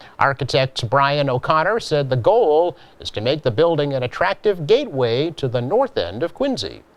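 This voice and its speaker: This man has a plain, everyday voice, pitched fairly high, with lively intonation. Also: moderate pace, hardly any pauses. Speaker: local TV news host. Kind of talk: local news read.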